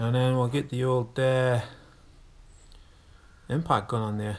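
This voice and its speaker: A man with a British accent at medium pitch and fairly even intonation, on a very clean recording with a silent background. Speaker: amateur car mechanic. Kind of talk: casual talk to camera. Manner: mumbling.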